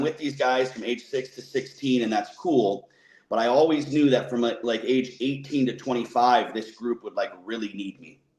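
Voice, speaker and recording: A man in an American accent uses a plain, everyday voice at a medium pitch. He keeps a moderate pace and ordinary pitch variation. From Wisconsin. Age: 30s. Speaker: personal coach. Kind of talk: podcast interview.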